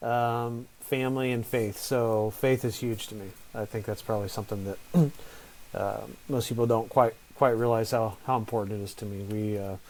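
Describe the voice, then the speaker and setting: A soft-spoken man talks at a medium pitch. His pace is moderate. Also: fairly even intonation. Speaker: real estate investor. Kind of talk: interview. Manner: halting.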